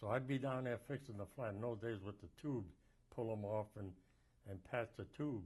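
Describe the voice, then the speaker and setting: A man speaks with an American accent in a somewhat breathy voice. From Massachusetts, Lawrence. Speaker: war veteran. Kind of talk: oral history interview. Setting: filmed interview.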